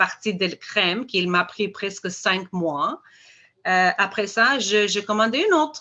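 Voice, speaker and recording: A woman's bright, sharp voice with an Albanian accent, over a quiet background. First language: Albanian (speaking French). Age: 50s. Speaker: dental hygiene teacher. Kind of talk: product testimony presentation. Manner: halting, many hesitations.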